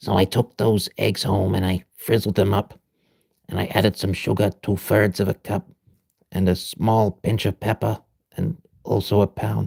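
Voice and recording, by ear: This man uses a put-on character voice, raspy and fairly low in pitch. He keeps a moderate pace with fairly even intonation.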